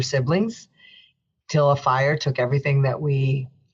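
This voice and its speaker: With an American accent, a woman speaks at a moderate pace in a very deep, low pitch. Her voice is somewhat breathy. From New Jersey, Union City. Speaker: federal judge. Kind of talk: interview.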